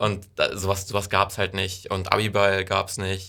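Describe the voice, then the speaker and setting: Recorded very cleanly with a silent background, a man speaks at a fairly low pitch and a moderate pace. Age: young. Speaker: incoming volunteer at community media station. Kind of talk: casual interview.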